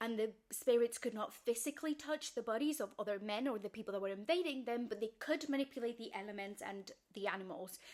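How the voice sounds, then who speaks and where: A woman's very fast, fairly high-pitched speech with lively intonation. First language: not English. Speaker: video creator explaining fiction lore. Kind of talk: casual explainer monologue.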